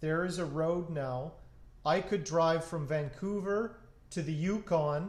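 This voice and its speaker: A man with a Canadian accent speaks at a high pitch, with audible room echo. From northern Saskatchewan, Canada. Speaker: guitar builder and live streamer. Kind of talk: casual chat on a live stream.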